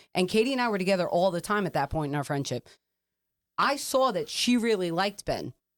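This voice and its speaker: Loud, animated, very fast speech with very wide pitch swings, on a very clean recording with a silent background. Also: woman, medium pitch for a woman. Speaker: podcast host. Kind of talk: casual chat.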